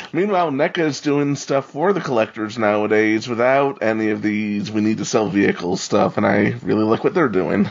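Someone with an American accent speaks at a fairly quick pace with hardly any pauses. There is noticeable background noise. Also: man, fairly low pitch for a man, lively intonation. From New York. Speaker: podcast co-host. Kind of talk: casual discussion.

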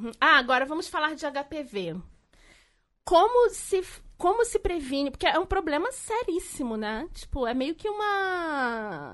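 Against a quiet background, a woman with an extremely high pitch talks fairly slowly, her pitch swinging very widely. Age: 40s. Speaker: podcast co-host. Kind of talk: casual chat.

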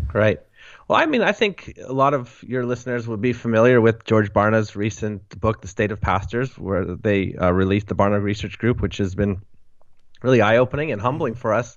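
Using a plain, everyday voice, a man with a Canadian accent talks at a fairly quick pace, with fairly low pitch and ordinary pitch variation. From Western Canada. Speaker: author and blogger, church leader. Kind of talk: interview.

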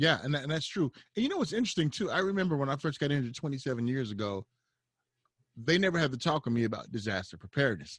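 Somewhat breathy and very fast, a man with an American accent speaks at a fairly high pitch with very wide pitch swings. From Southern California. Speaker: podcast host. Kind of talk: moderated panel discussion.

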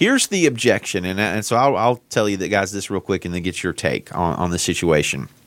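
A man with a Southern US accent, fairly low pitch, lively intonation and a fairly quick pace, on a very clean recording with a silent background. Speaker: podcast co-host and seminary worker. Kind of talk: casual chat. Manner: animated.

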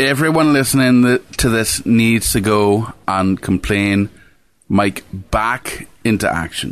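With an Irish accent, a man speaks at a very slow pace with ordinary pitch variation and very even loudness against a quiet background. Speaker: podcast co-host. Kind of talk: casual chat.

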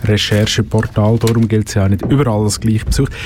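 A man speaks at a medium pitch. Noticeable background noise can be heard. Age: young. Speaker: radio host. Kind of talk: casual chat. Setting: studio.

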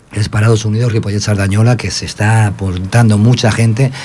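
Fairly quick, flat monotone speech with audible room echo and noticeable background noise. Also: man. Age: 50s. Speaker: community radio host for an unemployed workers' association. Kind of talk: casual chat.

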